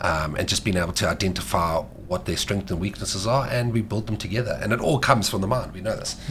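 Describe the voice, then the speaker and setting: A man with a fairly low voice talks at a very fast pace with hardly any pauses and ordinary pitch variation. Noticeable background noise runs under the recording. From Mauritius. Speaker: sports dietitian. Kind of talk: podcast interview. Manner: animated.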